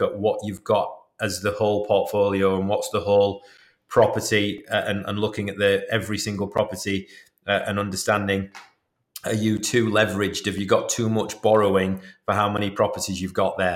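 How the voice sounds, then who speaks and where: Fairly quick and monotone, a man speaks with a British accent in a fairly low pitch and flat intonation. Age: 40s. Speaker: mortgage adviser. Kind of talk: podcast interview.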